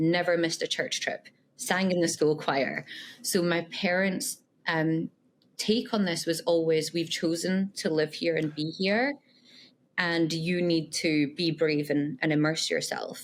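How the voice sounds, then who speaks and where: Speaking with a Scottish accent, a woman uses a fairly low pitch, ordinary pitch variation and very even loudness at a fairly slow pace. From Scotland, west coast (Irvine). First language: Punjabi. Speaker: tech leader, podcast guest. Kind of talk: interview.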